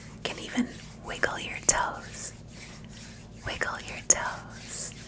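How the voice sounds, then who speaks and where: A woman whispers very slowly with noticeable background noise around her. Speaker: grief support host and meditation guide. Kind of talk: guided meditation. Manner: calm, soothing, slow-paced.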